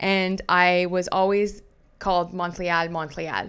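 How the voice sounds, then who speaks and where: This is a woman speaking. She has a slight French Canadian accent. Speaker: commentary youtuber. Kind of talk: reading aloud; casual commentary video. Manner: halting, self-correcting.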